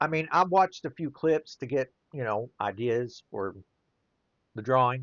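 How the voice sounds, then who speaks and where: A man's medium-pitched voice with lively intonation and a Southern US accent. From US mid-south. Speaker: children's book illustrator and playwright. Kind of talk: casual monologue while drawing. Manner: rambling, conversational.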